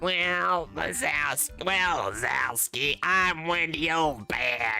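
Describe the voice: A put-on character voice, raspy and at a middle pitch, moves at a very slow pace. Faint music plays in the background.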